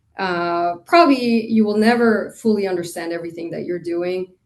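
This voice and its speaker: Moderate pace and fairly even intonation from a plain, everyday voice. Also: woman. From Costa Rica, moved to Indiana at 13. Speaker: hotel industry executive. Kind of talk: interview.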